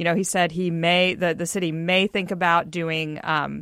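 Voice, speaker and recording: A woman with an American accent speaks at a moderate pace in a normal speaking voice, fairly low in pitch. The background is quiet. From US South (Texas, earlier Mississippi). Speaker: news site co-founder and publisher, political journalist. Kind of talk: radio panel discussion.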